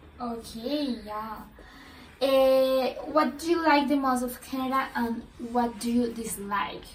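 With a Spanish accent, a woman speaks at a very slow pace and a high pitch, her intonation fairly even, amid noticeable background noise and audible room echo. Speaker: podcast host. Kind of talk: interview. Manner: halting.

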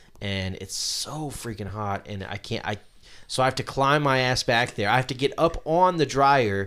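A man in an ordinary speaking voice talks at a moderate pace with lively intonation. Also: medium pitch for a man. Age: 30s. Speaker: podcast host. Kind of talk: casual chat. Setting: home garage studio.

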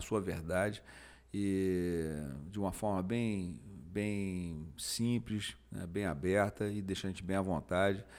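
Very clean and silent in the background, the recording features a man. His pitch is very deep and low, with fairly even intonation. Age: 50s. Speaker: jiu-jitsu master and motivational speaker. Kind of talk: casual chat.

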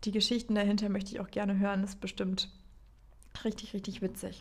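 Somewhat breathy, a woman speaks at medium pitch in a monotone, flat intonation. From northern Germany, Baltic coast. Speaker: podcast host. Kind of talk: casual monologue. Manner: unscripted, chatty.

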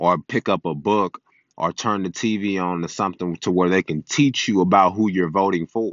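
His pitch is very deep and low. The man talks at a moderate pace in an animated tone. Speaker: podcast host. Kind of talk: solo monologue podcast. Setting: recording on a phone.

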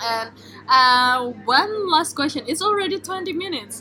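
Speaking in an Indonesian accent with a raised, projected voice, this speaker moves at a fairly slow pace with long, frequent pauses, very wide pitch swings and big swings in loudness. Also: woman. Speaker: podcast host and graduate student. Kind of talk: casual interview.

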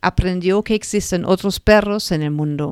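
In a German accent, a woman speaks on a very clean recording with a silent background, the sound dry and close with no echo. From northern Germany, Lower Saxony. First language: German (speaking Spanish). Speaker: podcast host, animal therapist. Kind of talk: personal storytelling monologue. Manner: halting.

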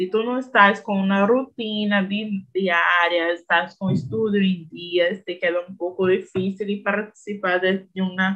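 A woman with a Brazilian accent speaks at a very slow pace. Her pitch is medium and her intonation fairly even. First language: Portuguese (speaking Spanish). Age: 20s. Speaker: language learner. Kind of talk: casual chat.

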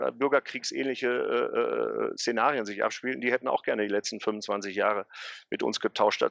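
A man at a moderate pace, with a dry, close sound with no echo and a quiet background. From Ruhr area, Gelsenkirchen. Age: 40s. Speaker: football historian and city tour guide. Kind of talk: interview.

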